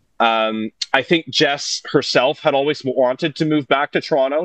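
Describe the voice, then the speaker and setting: With a Franco-Ontarian accent, a man speaks at a moderate pace in a medium pitch with ordinary pitch variation. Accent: Franco-Ontarian Canadian English. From Northern Ontario, Canada (North Bay, Francophone). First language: French. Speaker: musician and producer. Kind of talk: casual chat.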